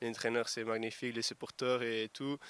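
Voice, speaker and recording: The tone is bright and sharp, with monotone, flat intonation. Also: man. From Portugal. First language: Portuguese (speaking French). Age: 20s. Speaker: rugby winger. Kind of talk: sports interview. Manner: halting.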